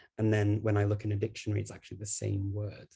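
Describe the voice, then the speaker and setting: This man's voice has a fairly low pitch, a dark, mellow tone and a somewhat breathy sound. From Liverpool, northern England. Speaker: polyglot. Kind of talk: online panel talk. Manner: hesitant with frequent fillers.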